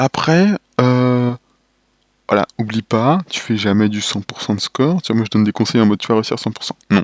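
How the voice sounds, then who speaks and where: The sound is close and dry, without echo. A man talks at a medium pitch. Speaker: engineering student giving exam tips. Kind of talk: casual tutorial. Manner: fast; animated, casual.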